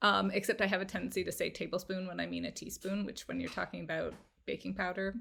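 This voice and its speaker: On a very clean recording with a silent background, a woman speaks at a very fast pace. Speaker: cookbook author and food blogger. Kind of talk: casual chat. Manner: expressive.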